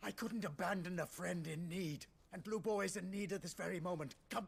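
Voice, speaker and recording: Using a put-on character voice, a man speaks fairly quickly in a high pitch with fairly even intonation. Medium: video game.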